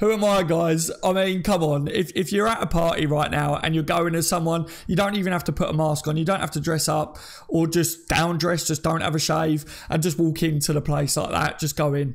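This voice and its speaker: A man at a fairly high pitch and fairly quick pace, with fairly even intonation and very even loudness. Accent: English. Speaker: football YouTuber. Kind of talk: live stream commentary. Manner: stutter; casual.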